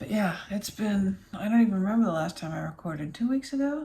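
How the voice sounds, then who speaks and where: This soft-spoken, somewhat breathy voice has a dark, mellow tone and an American accent. Its pitch swings very widely. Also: woman. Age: 50s. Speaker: vlogger. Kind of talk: casual vlog. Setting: home office.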